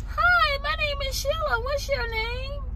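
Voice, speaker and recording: A put-on character voice sounds squeaky at an extremely high pitch. It moves at a fairly slow pace. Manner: creepy.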